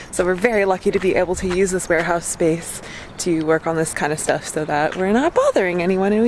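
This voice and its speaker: Noticeable background noise runs under the recording. Over it, a woman speaks at a fairly quick pace. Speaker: van life vlogger. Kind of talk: casual vlog chat. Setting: warehouse.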